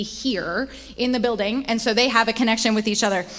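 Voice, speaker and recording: Fairly quick speech from a woman with ordinary pitch variation amid noticeable background noise. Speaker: church staff leader. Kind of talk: church update presentation. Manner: fast.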